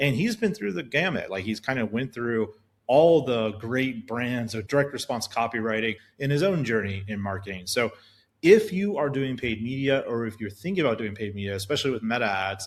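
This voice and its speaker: Speaking at a fairly quick pace and medium pitch, a man is heard on a very clean recording with a silent background. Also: lively intonation. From Alaska. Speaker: podcast host. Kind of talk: scripted intro; podcast interview. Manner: casual.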